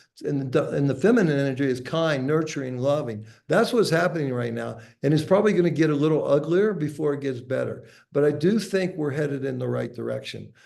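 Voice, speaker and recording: Talking at a very fast pace, a man with an American accent uses a fairly high pitch and ordinary pitch variation, with audible room echo around him. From USA. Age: 60s. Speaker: entrepreneur and author. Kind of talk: podcast interview.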